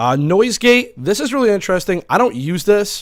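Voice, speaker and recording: The voice has lively intonation, captured in a very clean recording with a silent background. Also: man. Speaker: streamer. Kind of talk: tutorial. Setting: home. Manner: loud; hesitant, many fillers.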